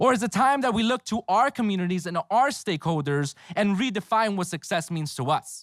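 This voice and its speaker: High-pitched and lively in intonation, a man speaks at a fairly quick pace with hardly any pauses, in a dry, close sound with no echo on a very clean recording with a silent background. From Los Angeles, California. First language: Spanish. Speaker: graduate student speaker. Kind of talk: commencement speech. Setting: outdoor ceremony with audience. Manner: halting, many fillers.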